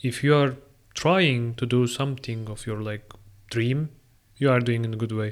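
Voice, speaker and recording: A man with a Turkish accent speaks at medium pitch and a moderate pace, with fairly even intonation and long, frequent pauses, in a very clean recording with a silent background. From Turkey. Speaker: international master's student. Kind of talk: solo podcast monologue.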